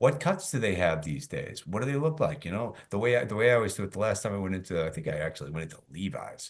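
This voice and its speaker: Very fast and animated, a man's fairly low voice leaps through very wide pitch swings. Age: 60s. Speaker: sales expert and author. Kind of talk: podcast interview.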